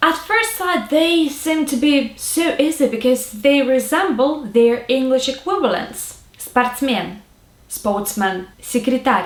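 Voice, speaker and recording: Speaking very slowly with a Russian accent, a woman uses a high pitch and lively intonation. Noticeable background noise sits behind her. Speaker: language tutor. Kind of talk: tutorial.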